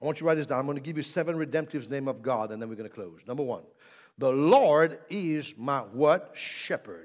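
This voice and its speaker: A man speaks in an animated tone at a fairly quick pace and fairly high pitch, with ordinary pitch variation. His loudness swings a lot against a quiet background. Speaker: preacher. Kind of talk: sermon; energetic preaching with call-and-response altar call. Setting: church with live congregation. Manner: animated, exhorting the congregation, repeated commands to say amen and lift hands; jokey, playful with the audience. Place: church. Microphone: handheld.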